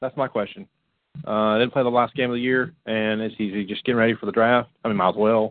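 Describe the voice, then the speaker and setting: Speaking at a fairly quick pace, a man with an American accent has an unremarkable speaking voice, a medium pitch and fairly even intonation. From Florida. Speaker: radio show co-host, youth ministry. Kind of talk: casual chat.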